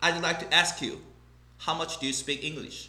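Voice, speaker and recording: This man has a Korean accent and a bright, sharp tone. Vocal fry runs through his speech. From South Korea. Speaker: English teacher. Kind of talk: casual talk to camera.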